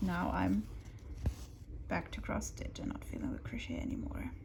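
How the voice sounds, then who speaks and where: A woman with a non-native accent, noticeable background noise, and audible room echo. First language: German. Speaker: crafting youtuber. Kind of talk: casual chat. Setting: at home on the sofa. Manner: quieter than usual.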